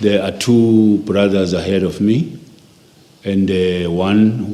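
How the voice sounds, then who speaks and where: Against noticeable background noise and audible room echo, a man talks at a very slow pace in a very deep, low pitch with fairly even intonation. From South Africa, KwaZulu-Natal (Inanda near Durban). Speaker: interviewee recounting life story. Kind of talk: oral history interview.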